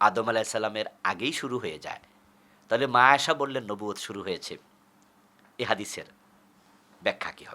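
A man's bright, sharp voice of medium pitch shows ordinary pitch variation and big swings in loudness. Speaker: Islamic preacher. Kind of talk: sermon.

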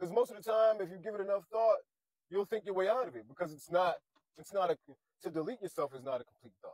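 A man speaks, and the sound is dry with no echo. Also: quiet background. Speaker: vlogger. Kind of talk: casual vlog chat. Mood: sad, earnest encouragement. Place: car. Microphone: lapel.

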